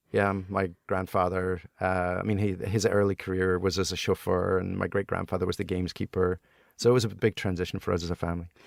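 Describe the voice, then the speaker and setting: A man with a Scottish accent talks fairly quickly in a very deep, low pitch and a monotone, flat intonation. The recording is very clean, dry and close, with a silent background and no echo. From Scotland. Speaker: entrepreneur, board game inventor. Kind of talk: interview answer.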